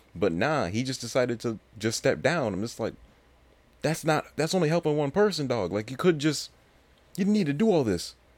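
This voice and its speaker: A man with an American accent, medium pitch and very wide pitch swings, at a moderate pace. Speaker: podcast host. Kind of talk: casual solo podcast monologue. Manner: rambling, filler-heavy, casual.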